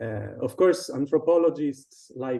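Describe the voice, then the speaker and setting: A man with an Italian accent speaks fairly slowly in a dark, mellow tone with ordinary pitch variation. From Sardinia, Italy. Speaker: designer and illustrator. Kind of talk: casual interview. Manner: halting, many repetitions.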